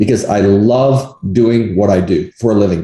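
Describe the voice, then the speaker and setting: With a plain, everyday voice, the man talks at a moderate pace in a fairly low register, his pitch varying in an ordinary way. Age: 60s. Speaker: negotiation coach and appraisal umpire. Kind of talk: interview.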